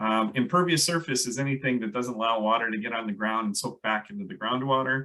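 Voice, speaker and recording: A man with a medium-pitched voice and a bright, sharp tone speaks at a very fast pace with ordinary pitch variation. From Minnesota. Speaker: landscape ecologist. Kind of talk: presentation. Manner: hesitant, many fillers.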